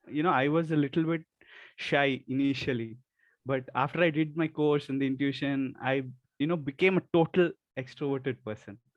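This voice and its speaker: Soft-spoken and fairly high-pitched, a man talks at a fairly slow pace with fairly even intonation. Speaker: Ayurveda medical student. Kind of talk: testimony.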